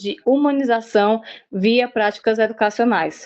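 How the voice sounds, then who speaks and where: A woman with a normal speaking voice talks at a fairly slow pace, her pitch varying in an ordinary way. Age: 40s. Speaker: university student presenting group work. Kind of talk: student presentation.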